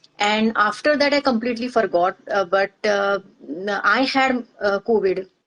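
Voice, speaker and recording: A woman speaks with a Marathi Indian accent at a fairly high pitch and a fairly slow pace. The sound is dry and close, with no echo. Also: ordinary pitch variation, very even loudness. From India, Maharashtra. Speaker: organizational psychologist. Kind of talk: interview testimony. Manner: halting, many fillers.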